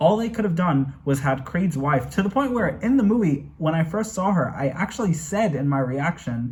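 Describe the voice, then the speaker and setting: Somewhat breathy speech at a moderate pace with lively intonation. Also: man. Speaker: movie reaction youtuber. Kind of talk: casual review monologue. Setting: home bedroom. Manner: animated; stuttering at times.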